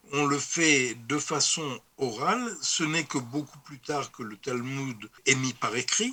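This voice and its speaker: This man's pitch is fairly high, with ordinary variation. He speaks at a very slow pace with hardly any pauses. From France. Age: 70s. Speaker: historian of religions, professor emeritus. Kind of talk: interview.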